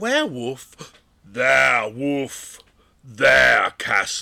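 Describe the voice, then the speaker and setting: In a raspy, put-on character voice at a medium pitch, a man drags along at a very slow pace. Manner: funny put-on voice.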